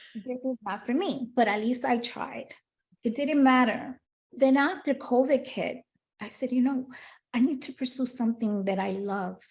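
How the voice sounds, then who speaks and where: A woman's high-pitched voice in a Spanish accent, at a moderate pace with ordinary pitch variation. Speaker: retired police detective turned preschool teacher and children's author. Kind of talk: interview.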